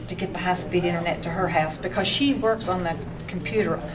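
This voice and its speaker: With an Appalachian accent and medium pitch, a woman speaks through audible room echo and noticeable background noise. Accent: Appalachian Southern US. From western North Carolina. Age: 60s. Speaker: small business owner. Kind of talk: public testimony. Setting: public meeting. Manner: halting, with false starts.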